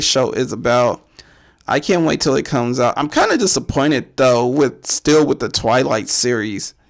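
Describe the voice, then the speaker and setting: There is vocal fry in this man's fairly high voice as he talks at a fairly slow pace. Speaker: horror podcast host. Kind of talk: casual solo commentary. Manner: casual, rambling with repetitions.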